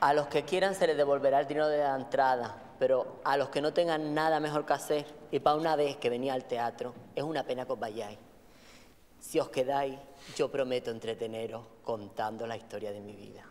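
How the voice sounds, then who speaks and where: A woman speaks at a fairly quick pace in a very deep, low voice, with ordinary pitch variation and big swings in loudness. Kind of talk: theatrical monologue to audience. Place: stage.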